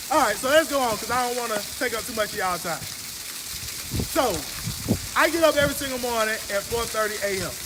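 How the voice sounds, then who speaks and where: With noticeable background noise behind him, a man with an extremely high pitch speaks in a raised, projected voice at a very fast pace, using ordinary pitch variation and long, frequent pauses. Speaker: business coach. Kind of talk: live stream talk. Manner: loud.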